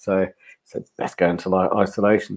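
A man's fairly low voice with a British accent and monotone, flat intonation. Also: quiet background. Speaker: men's personal development consultant. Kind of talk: interview. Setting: video call. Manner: calm. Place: home room. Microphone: video call.

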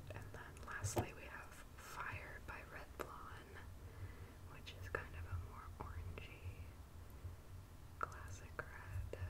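A woman at a very slow pace with long, frequent pauses over loud background noise. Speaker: ASMR creator. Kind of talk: ASMR manicure video, casual talk to camera. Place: home room.

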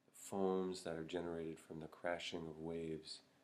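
A man speaks at a very deep, low pitch. His delivery is fairly slow and monotone, with flat intonation. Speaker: Zen meditation teacher. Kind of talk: Buddhist dharma talk to camera. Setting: Zen monastery. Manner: slow, reflective. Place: home room. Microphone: webcam.

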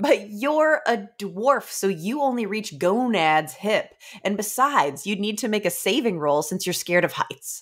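A woman's put-on character voice, drawling at a moderate pace, medium in pitch, with very wide pitch swings. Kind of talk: comic staged reading. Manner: sardonic, teasing.

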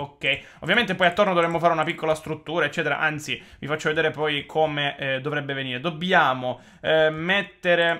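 A man's fairly high voice at a fairly quick pace against a quiet background. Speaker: gaming YouTuber; gaming youtuber. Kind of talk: gameplay commentary. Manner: animated. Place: home room.

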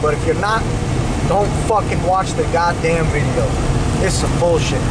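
A man talks at a moderate pace while loud background noise fills the recording. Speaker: vlogger driving. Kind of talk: casual vlog chat. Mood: irritated ranting about drivers. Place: car. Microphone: phone near.

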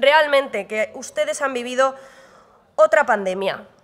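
A woman speaks at a fairly slow pace in a raised, projected voice. Her tone is animated, bright, and sharp. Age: young. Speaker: regional parliament member. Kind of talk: parliamentary debate speech. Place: hall. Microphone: podium.

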